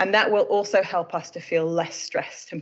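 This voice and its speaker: A woman with a British accent speaks at a very fast pace. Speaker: emergency medicine doctor. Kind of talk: presentation.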